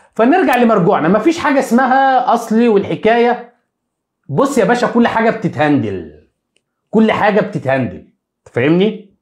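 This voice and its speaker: A man with a Cairo accent speaks at a high pitch and a moderate pace, his tone animated. His intonation is lively, and the background is quiet. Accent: Egyptian Arabic (Cairene). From Egypt. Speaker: sports YouTuber, football commentator; sports news commentator. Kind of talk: live stream monologue on football news; commentary. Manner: animated, repetitive emphasis. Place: home room. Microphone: lapel.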